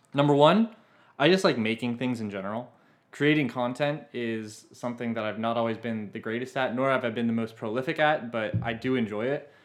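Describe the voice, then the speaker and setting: Fairly quick speech in a plain, everyday voice against a quiet background. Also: man, medium pitch for a man, ordinary pitch variation. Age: 20s. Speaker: podcast co-host, software engineer. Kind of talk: casual chat.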